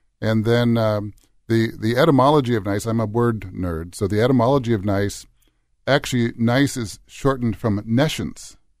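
This is a normal speaking voice at a moderate pace. Pitch varies in an ordinary way. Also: man, medium pitch for a man. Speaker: talk show host. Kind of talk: panel discussion. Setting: studio.

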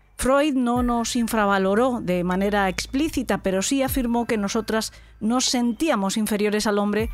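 Music plays in the background as a woman speaks at a moderate pace. Her fairly high voice shows ordinary pitch variation. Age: 50s. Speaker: podcast host. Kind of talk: interview; scripted narration.

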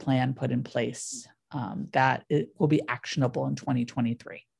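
Speech comes in a Californian accent at a fairly slow pace. Pitch variation is ordinary. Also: woman. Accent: Californian American. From US, San Diego. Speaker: city government official. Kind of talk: interview. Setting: studio.

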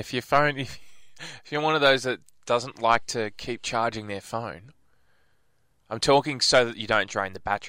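A man with an Australian accent talks at a moderate pace and medium pitch in a bright, sharp tone, using ordinary pitch variation. His loudness swings widely and he takes long, frequent pauses, all on a very clean recording with a silent background. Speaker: radio host. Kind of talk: casual chat. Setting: studio.

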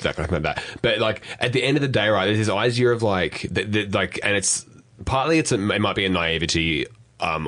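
Speech comes at a very fast pace in an Australian accent. The pitch rises and falls in an ordinary way. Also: man. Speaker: podcast co-host. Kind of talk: casual chat.

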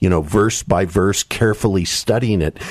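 A man speaks in an unremarkable speaking voice with ordinary pitch variation at a moderate pace. The sound is dry and close, with no echo. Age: 60s. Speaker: author and political commentator. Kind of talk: radio interview.

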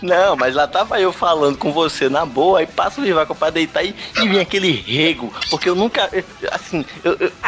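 The loudness stays very even, with ordinary pitch variation. Noticeable background noise runs underneath. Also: man, high pitch for a man, moderate pace. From Recife, Brazil. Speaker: podcaster. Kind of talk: casual chat.

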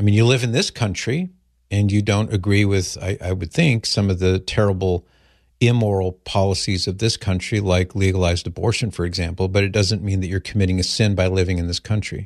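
A man with an ordinary speaking voice talks at a fairly quick pace against a quiet background. His pitch is fairly low, with fairly even intonation. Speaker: radio host. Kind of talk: call-in talk radio. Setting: studio.

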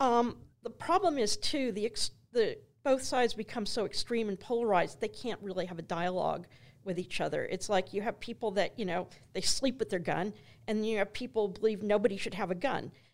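This woman has an unremarkable speaking voice, a fairly high pitch, ordinary pitch variation and a fairly quick pace. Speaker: archaeology professor. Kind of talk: interview conversation.

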